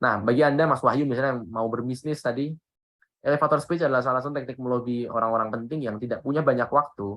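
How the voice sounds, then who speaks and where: This man's voice is medium in pitch and very fast. Fairly even intonation marks his delivery. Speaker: public speaking trainer. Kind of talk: workshop talk. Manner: casual, conversational.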